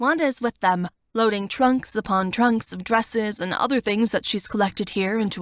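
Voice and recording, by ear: This is someone reading aloud in a natural voice, with ordinary pitch variation. The background is quiet.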